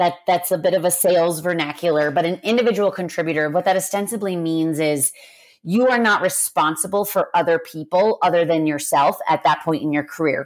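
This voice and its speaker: A woman talks at a fairly quick pace in an ordinary speaking voice, with ordinary pitch variation. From US. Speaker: podcast host, corporate people leader. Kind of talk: casual chat.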